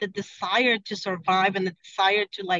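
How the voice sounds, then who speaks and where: A woman with a Spanish accent talks at a fairly quick pace. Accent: Spanish accent, still noticeable. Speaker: car dealership sales director. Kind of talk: podcast interview. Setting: in a car, video call. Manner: halting, many fillers.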